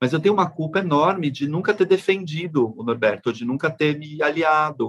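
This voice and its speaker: A man with a plain, everyday voice and a fairly high pitch talks at a moderate pace with ordinary pitch variation. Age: 40s. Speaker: podcast host. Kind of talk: casual interview chat.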